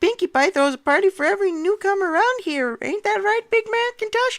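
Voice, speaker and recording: A squeaky, female-sounding put-on character voice runs at a fairly quick pace with an extremely high pitch. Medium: read story.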